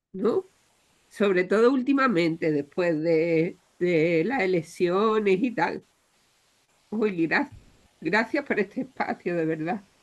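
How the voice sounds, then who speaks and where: Spoken at a very slow pace with long, frequent pauses, the voice carries a lively intonation. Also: woman, medium pitch for a woman. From Andalusia, Spain. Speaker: audience participant. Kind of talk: audience comment. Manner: halting.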